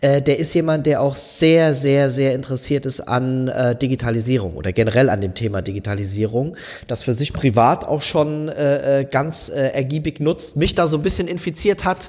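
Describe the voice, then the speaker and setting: Using an ordinary speaking voice, a man talks at a moderate pace with hardly any pauses. His pitch is fairly high, with ordinary variation. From southwestern Germany. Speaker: company managing director. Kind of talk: casual interview.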